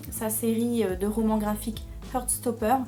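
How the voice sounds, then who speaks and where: Room echo clearly audible and music playing behind a female speaker. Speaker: book youtuber. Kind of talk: casual monthly reading list video. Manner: hesitant, many fillers.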